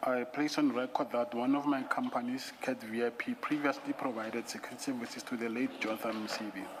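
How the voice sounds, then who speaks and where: A man talks at medium pitch, fairly quickly and with hardly any pauses. His intonation is monotone and flat, over noticeable background noise. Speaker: witness at a commission of inquiry. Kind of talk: testimony. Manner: soft-spoken. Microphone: too quiet, far from the mic.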